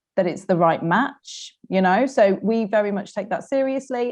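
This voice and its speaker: Against a quiet background, this speaker talks at a moderate pace with a Mancunian accent and ordinary pitch variation. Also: woman. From Manchester, northern England. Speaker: recruitment consultant. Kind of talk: webinar panel discussion.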